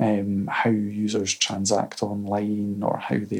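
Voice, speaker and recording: A man speaks with a Scottish accent at a fairly low pitch. Noticeable background noise is present. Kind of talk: casual chat. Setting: in-person recording in Edinburgh.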